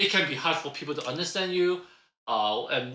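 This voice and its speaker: A man talks with a slight Cantonese accent at a fairly quick pace. His tone is bright and sharp. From Hong Kong, moved to North America at ten. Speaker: podcast co-host, career coach. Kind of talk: casual podcast chat. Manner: laughs while talking.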